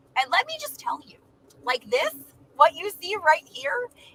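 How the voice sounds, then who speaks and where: This raised, projected voice has a bright, sharp tone and very wide pitch swings, moving at a fairly slow pace. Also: woman. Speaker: travel vlogger. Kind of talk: live stream chat. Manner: loud.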